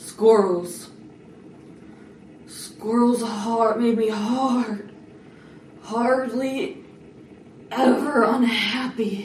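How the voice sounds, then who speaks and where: A put-on character voice speaks at a fairly high pitch and a very slow pace. Long, frequent pauses break it up, and there is a slight echo. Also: female-sounding voice. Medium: short film.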